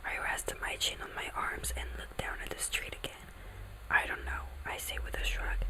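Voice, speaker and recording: Noticeable background noise around a woman talking at a moderate pace. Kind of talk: ASMR book reading. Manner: whispered, soft.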